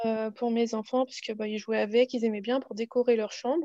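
Against a quiet background, a woman speaks in a dark, mellow tone with monotone, flat intonation, and the sound is dry and close with no echo. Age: 30s. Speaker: knitting podcaster. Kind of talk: casual interview.

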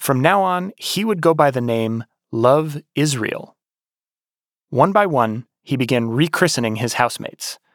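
Very clean and silent in the background, this recording has a man with a fairly high pitch. He talks at a fairly slow pace in an ordinary speaking voice. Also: lively intonation, dry, close sound with no echo. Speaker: podcast host and narrator. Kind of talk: scripted narration.

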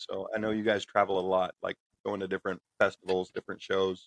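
Recorded with a dry, close sound and no echo, a man with an American accent talks at a very fast pace. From United States. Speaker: podcast host. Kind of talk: interview.

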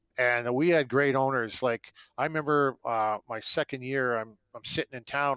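In a very clean recording with a silent background and a dry, close sound with no echo, a man with a Canadian accent and an ordinary speaking voice talks at a moderate pace and medium pitch with ordinary pitch variation. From Ontario, Canada (near Toronto). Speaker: retired hockey player. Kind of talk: interview. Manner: casual, many fillers.

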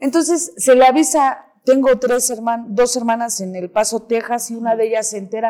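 Dark and mellow in tone, a woman's fairly high voice moves at a moderate pace with hardly any pauses. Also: ordinary pitch variation. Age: 30s. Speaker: recovering addict. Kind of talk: interview testimony. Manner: animated.

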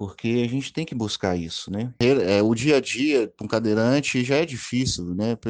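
A man has a normal speaking voice at a medium pitch, with ordinary pitch variation. He keeps a moderate pace with hardly any pauses over a quiet background. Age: 30s. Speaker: wheelchair user sharing personal story. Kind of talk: testimony. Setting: WhatsApp voice message.

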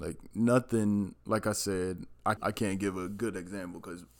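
A man speaks in a normal speaking voice, fairly low in pitch and at a fairly slow pace. The recording is very clean, with a silent background. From Maryland. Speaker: podcast co-host. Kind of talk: casual chat.

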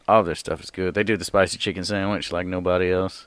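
He speaks with a Southern US accent. His very deep, low voice stays monotone and flat. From US South. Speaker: comedian. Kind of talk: casual chat.

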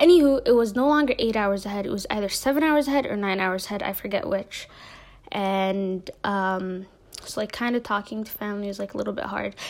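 Fairly quick speech from a woman with an American accent, medium pitch and ordinary pitch variation. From US Midwest, Minneapolis (Somali community). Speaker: podcast host. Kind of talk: casual monologue. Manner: hesitant, many fillers.

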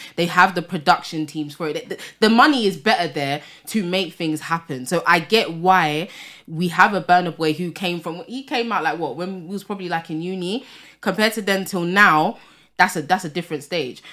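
In a London accent, a woman speaks at a moderate pace with a fairly low pitch and a bright, sharp tone. Her loudness swings widely, while her pitch variation is ordinary. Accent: London multicultural English. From England, Tottenham, North London. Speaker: podcast co-host. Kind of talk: casual chat.

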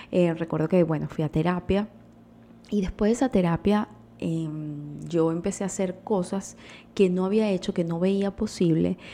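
A woman with a dark, mellow tone and medium pitch speaks at a moderate pace with ordinary pitch variation and long, frequent pauses. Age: 30s. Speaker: podcast host. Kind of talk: casual monologue.

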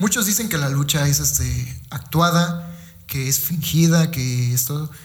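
A man's medium-paced speech, with normal pitch movement, echoes in the room over clearly audible background noise. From Mexico, Veracruz (Fortín de las Flores). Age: 20s. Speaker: professional wrestler. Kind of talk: casual interview. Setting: physiotherapy clinic. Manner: halting, many fillers.

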